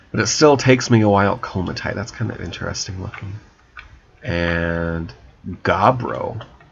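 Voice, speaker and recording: A man speaks with ordinary pitch variation and long, frequent pauses over noticeable background noise. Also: moderate pace. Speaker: gaming YouTuber. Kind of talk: let's play commentary. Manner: many pauses and silences; halting.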